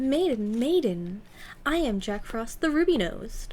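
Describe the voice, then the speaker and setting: A woman's put-on character voice, high in pitch. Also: moderate pace. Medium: read story.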